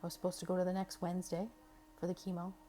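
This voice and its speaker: This woman has a medium-pitched voice. Her tone is dark and mellow. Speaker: cancer patient vlogger. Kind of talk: personal testimony vlog. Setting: hospital. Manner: casual, conversational with fillers.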